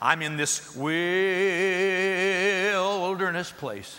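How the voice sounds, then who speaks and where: Putting on a character voice, a man speaks in a high, shaky tone. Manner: quivering, drawn-out, overwrought.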